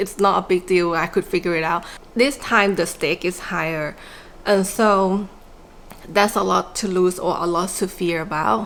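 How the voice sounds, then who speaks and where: A woman speaks at medium pitch with a non-native accent. Her pace is fairly slow. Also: ordinary pitch variation. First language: not English. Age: 40s. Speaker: small business owner and vlogger. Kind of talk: personal reflective vlog. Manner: casual with many fillers.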